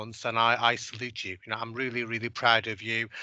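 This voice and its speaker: A man talks at a moderate pace in a bright, sharp tone. The sound is dry with no echo over a quiet background. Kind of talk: speech to staff. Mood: warm, encouraging. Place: office. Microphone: headset.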